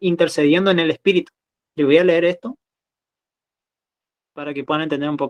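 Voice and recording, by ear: Long, frequent pauses, ordinary pitch variation and a dry, close sound with no echo. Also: man.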